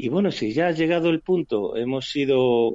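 At a fairly slow pace, a man talks in a dry, close sound with no echo. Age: 50s. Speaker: police cybercrime investigator. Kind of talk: interview. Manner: halting, many fillers.

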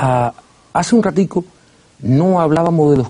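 A man speaks at a fairly slow pace in a dark, mellow tone that is somewhat breathy. His pitch swings very widely. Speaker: TV host. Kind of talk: TV interview. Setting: studio.

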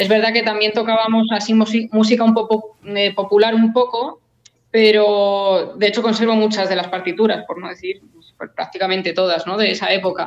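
Holding a monotone, flat intonation, a woman speaks at a moderate pace in a fairly high voice. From Spain, Madrid area (Rivas). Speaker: classical guitarist. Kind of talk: casual interview.

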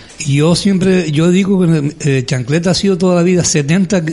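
With ordinary pitch variation, the man speaks in a high register. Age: 60s. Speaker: carnival group president. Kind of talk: interview.

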